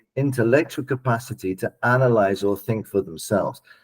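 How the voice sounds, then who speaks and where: With lively intonation, a man speaks at a moderate pace in an ordinary speaking voice. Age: 60s. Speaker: political scientist. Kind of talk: panel discussion.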